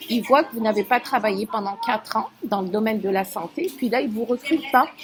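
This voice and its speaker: A woman speaks at a fairly quick pace in a fairly high pitch. Her pitch varies in an ordinary way, with noticeable background noise behind her. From Algeria, Algiers. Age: 50s. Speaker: immigrant doctor, optometry assistant. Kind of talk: interview. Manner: halting.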